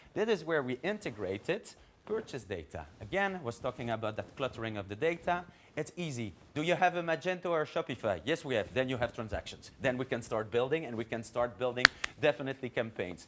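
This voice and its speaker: Very wide pitch swings from a man at medium pitch and a very fast pace. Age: 40s. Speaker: marketing executive. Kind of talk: conference talk.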